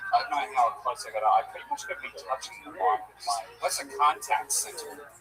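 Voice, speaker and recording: A man talks fairly quickly, his loudness swinging widely, while music plays in the background. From Australia. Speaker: comedian. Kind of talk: stand-up.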